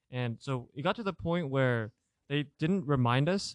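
Recorded very cleanly against a silent background, a man has an ordinary speaking voice with a fairly high pitch. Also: dry, close sound with no echo. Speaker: college student. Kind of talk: casual chat.

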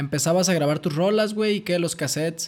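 A man with ordinary pitch variation. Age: 20s. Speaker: podcast host. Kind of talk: casual chat.

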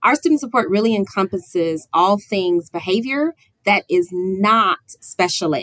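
Recorded with a dry, close sound with no echo, a woman with medium pitch and an ordinary speaking voice talks at a moderate pace with lively intonation. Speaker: school district administrator. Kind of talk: casual interview chat.

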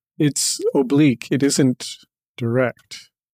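Using an ordinary speaking voice, a man with a fairly high pitch speaks with lively intonation in a dry, close sound with no echo. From Canada. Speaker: professor and novelist. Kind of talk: interview.

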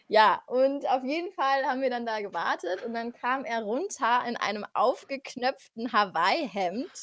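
Her pitch high and her intonation lively, a woman talks at a fairly slow pace with hardly any pauses. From Frankfurt am Main, Germany. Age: 20s. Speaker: podcast guest. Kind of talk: casual chat.

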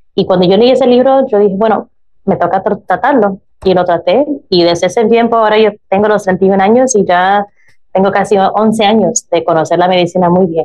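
Her pitch sits at medium with ordinary variation as this woman keeps a moderate pace and very even loudness. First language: English (speaking Spanish). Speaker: drug policy activist and chaplain. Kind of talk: interview. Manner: halting, searching for Spanish words.

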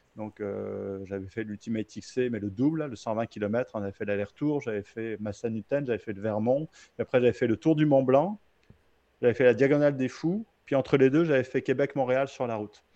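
Medium in pitch, a man's voice has a dark, mellow tone and ordinary pitch variation at a moderate pace. His loudness swings widely, and the sound is dry and close with no echo. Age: 40s. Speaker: ultrarunner. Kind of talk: casual interview.

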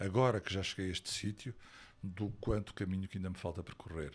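A man's fairly low-pitched voice with fairly even intonation, an unremarkable speaking voice. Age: 60s. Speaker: actor and stage director. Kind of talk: interview.

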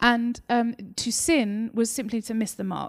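A woman speaks very slowly with a slight Essex accent, her pitch fairly high. The recording is very clean and dry, close-miked with no echo and a silent background. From England, Essex. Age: 30s. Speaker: novelist. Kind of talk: author interview on stage. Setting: live event with audience. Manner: gregarious, talkative, laughs often.

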